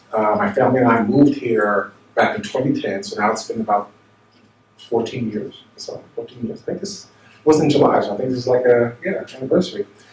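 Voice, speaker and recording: Amid noticeable background noise, a man with an American accent and medium pitch talks at a fairly quick pace with very wide pitch swings. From New York / New Jersey area. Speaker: minister. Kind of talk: seminar talk. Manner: conversational, with many fillers.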